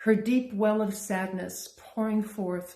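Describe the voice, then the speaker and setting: With a dark, mellow tone and a somewhat breathy quality, a woman speaks at medium pitch with fairly even intonation. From Canada. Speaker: poet. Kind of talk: poetry reading.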